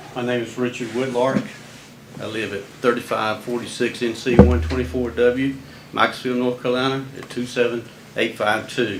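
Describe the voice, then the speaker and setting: A man with an American accent talks at a moderate pace and medium pitch, his intonation fairly even. His loudness swings widely, and there is noticeable background noise. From US South. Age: 70s. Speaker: resident speaking at public comment. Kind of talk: public comment statement. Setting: county board meeting. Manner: formal.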